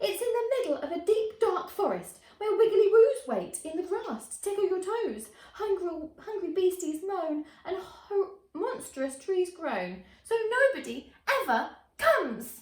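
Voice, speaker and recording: A woman in a put-on character voice projects a raised, shrill sound at an extremely high pitch with very wide pitch swings, at a fairly slow pace. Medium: read story.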